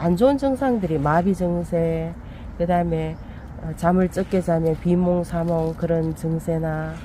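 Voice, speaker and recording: Very slow, fairly low-pitched voice of a woman. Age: 50s. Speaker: interviewee. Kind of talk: interview.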